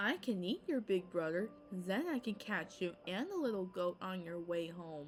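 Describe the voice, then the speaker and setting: Over clear background noise, a woman at medium pitch performs a put-on character voice at a moderate pace, with hardly any pauses. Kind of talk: bedtime story. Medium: read story. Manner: roaring, bullying.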